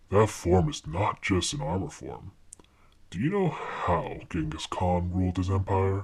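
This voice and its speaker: Very deep, low pitch from a man doing a put-on character voice, moderate in pace. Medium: fan dub. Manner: condescending, knowing.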